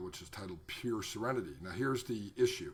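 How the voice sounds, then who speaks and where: This is a man talking. He keeps a fairly quick pace. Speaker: hypnotherapist. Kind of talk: tutorial. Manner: fast.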